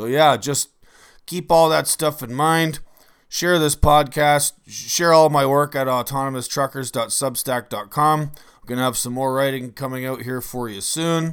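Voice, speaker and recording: A man with a Canadian accent talks in an ordinary speaking voice, fairly high in pitch, at a fairly slow pace, his intonation fairly even. His loudness swings widely, and the recording is very clean with a silent background. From Canada. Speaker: podcast host and trucker. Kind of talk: casual interview.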